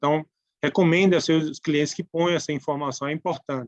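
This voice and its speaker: A man talks with fairly even intonation. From Brazilian Northeast. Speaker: tax speaker. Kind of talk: lecture. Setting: webinar. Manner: halting.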